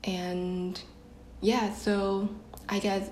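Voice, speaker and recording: There is noticeable background noise behind a woman of medium pitch. Her intonation is monotone and flat. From Vietnam. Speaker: podcast guest, marketing intern. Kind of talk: casual chat. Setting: video call.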